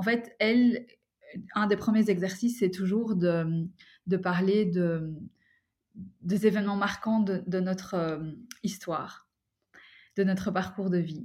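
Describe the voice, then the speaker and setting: Somewhat breathy and medium in pitch, a woman speaks at a very slow pace with fairly even intonation and long, frequent pauses, in a very clean recording with a silent background. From Belgium, Brussels. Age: 30s. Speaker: adoptee and coach. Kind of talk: testimony.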